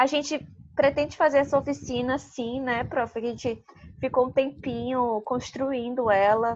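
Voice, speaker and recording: Against a quiet background, the speaker talks at a fairly slow pace with a Manaus accent. The intonation is fairly even. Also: woman. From Manaus, Amazonas, Brazil. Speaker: workshop co-leader. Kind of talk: online workshop. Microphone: unstable internet connection.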